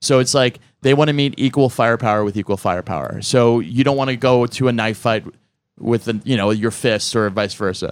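On a very clean recording with a silent background, a man speaks in a plain, everyday voice at medium pitch and a fairly quick pace. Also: ordinary pitch variation. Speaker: comedian. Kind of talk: casual panel chat.

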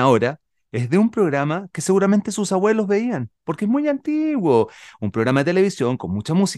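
Dry and close with no echo over a quiet background, a man talks at a moderate pace in an animated tone with very wide pitch swings. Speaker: children's radio host and musician. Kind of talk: casual radio chat.

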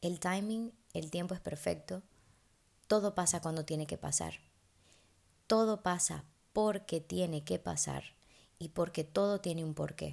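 A woman with a fairly low pitch speaks at a fairly slow pace, her tone animated and her pitch varying in an ordinary way. Long pauses come often, and the recording is very clean with a silent background. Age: 20s. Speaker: podcast host. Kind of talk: casual monologue.

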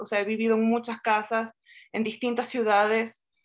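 A woman with a fairly high voice is heard on a very clean recording with a silent background. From Venezuela. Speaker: writer and poet. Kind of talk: literary interview.

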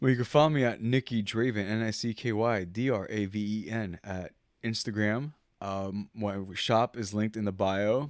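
A man with an ordinary speaking voice talks at a moderate pace in a fairly low pitch with fairly even intonation, on a very clean recording with a silent background. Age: 20s. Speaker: artist. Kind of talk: casual chat. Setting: hanging out playing video games.

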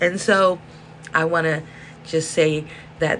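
A hoarse woman with an American accent speaks in a very deep, low pitch against noticeable background noise. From South Central Los Angeles. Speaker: podcast host. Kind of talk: monologue rant, casual. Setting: indoors with space heater whirring.

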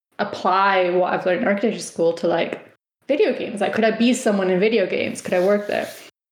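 A woman with a Spanish accent speaks fairly quickly at a medium pitch, with ordinary pitch variation and audible room echo. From Spain, Sweden, Germany and the Netherlands. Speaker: games designer. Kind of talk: interview.

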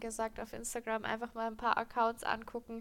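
A woman with a fairly high voice speaks fairly quickly in an animated tone. The recording is very clean, with a silent background. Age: 20s. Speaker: horse trainer and podcast co-host. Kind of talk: casual expert chat. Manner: animated, laughs often.

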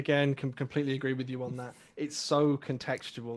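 In an English accent, a man speaks very fast at a medium pitch. His intonation is monotone and flat. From England. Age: young. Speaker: self-development community member. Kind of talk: casual chat. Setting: live stream.

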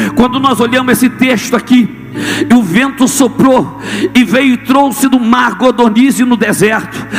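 With music in the background, a man in a Brazilian accent speaks at a fairly slow pace in an extremely high voice, his tone animated and his loudness very even. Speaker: preacher. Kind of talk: sermon to a live congregation, call-and-response. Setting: church with audience, screen for reading. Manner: animated, forceful, rhetorical repetition; exhorting, rhythmic, building in intensity.

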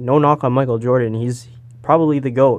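A man with a Toronto accent talks at a moderate pace in a medium pitch. His intonation is flat and monotone. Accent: Toronto Canadian English. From Canada, Toronto area (Brampton). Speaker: podcast host, journalism student. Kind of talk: casual chat.

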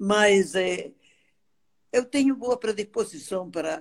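Speaking at a very slow pace, a woman has a medium pitch. Her pitch swings are very wide. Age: 80s+. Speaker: dance therapy teacher. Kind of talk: interview. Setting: Instagram live.

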